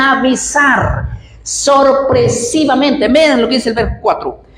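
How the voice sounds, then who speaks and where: The speech has an animated tone and a fairly slow pace. There is audible room echo and noticeable background noise. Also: woman. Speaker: preacher. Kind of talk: sermon.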